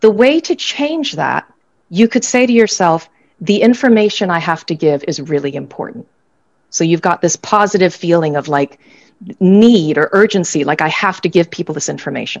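In an ordinary speaking voice, a woman with an American accent and medium pitch talks at a moderate pace with lively intonation. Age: 50s. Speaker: business school academic and author. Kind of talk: online panel discussion. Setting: video call.

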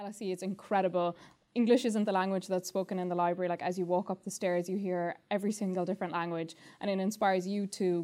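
A woman with an Irish accent talks very fast at a medium pitch in monotone, flat intonation. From Ireland. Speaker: law student. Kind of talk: testimonial interview.

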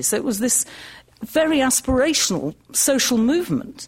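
A woman's somewhat breathy voice at a fairly quick pace, with lively intonation. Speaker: magazine editor, activist. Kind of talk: panel talk. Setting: lecture hall with audience. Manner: conversational.

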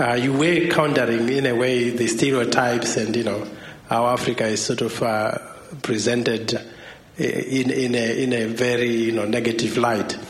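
A voice at a moderate pace with fairly even intonation, set against noticeable background noise and audible room echo. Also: man, medium pitch for a man. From Zimbabwe. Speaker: academic. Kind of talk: audience question.

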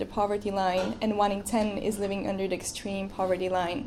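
In a Bulgarian accent, a woman speaks at a medium pitch and a fairly quick pace, with audible room echo. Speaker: student. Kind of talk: speech. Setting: stage with audience.

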